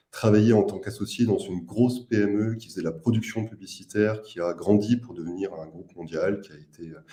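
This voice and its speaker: A man talks with a fairly low pitch and a dark, mellow tone. His pitch varies in an ordinary way while his loudness swings widely. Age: 30s. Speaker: startup co-founder. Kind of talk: investor presentation. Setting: live video meeting.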